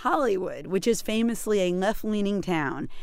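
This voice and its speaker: With an American accent, a woman speaks in a normal speaking voice at a medium pitch, using lively intonation at a fairly quick pace. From US New England. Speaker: radio host. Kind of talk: radio interview.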